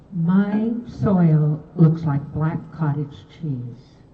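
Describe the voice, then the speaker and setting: Audible room echo surrounds a woman speaking at a fairly low pitch with ordinary pitch variation. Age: 80s+. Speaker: public commenter, gardener. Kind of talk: public comment statement.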